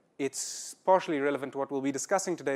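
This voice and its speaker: A man with a strong South African accent talks at a fairly high pitch. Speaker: system programmer, conference speaker. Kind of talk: conference talk. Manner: halting, many fillers.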